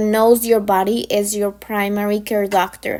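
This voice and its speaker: Speaking at a moderate pace with a non-native accent, a woman uses a fairly high pitch. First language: not English. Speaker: pharmacy technician educator. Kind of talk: informal lecture. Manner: halting.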